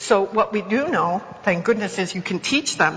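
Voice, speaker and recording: Female speech of medium pitch, noticeable background noise all around. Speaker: education professor. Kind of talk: conference lecture. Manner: fast.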